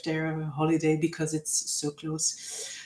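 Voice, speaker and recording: In a Dutch accent, a woman speaks at a fairly slow pace. The recording is very clean, with a silent background. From Flanders, Belgium. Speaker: university representative. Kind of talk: presentation. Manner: hesitant, many fillers.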